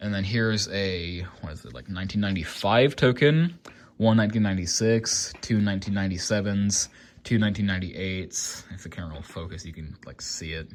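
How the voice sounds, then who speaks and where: A man speaks with ordinary pitch variation and big swings in loudness. The recording is very clean, with a silent background. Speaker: collector YouTuber. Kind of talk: casual show-and-tell vlog. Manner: halting, many fillers; casual.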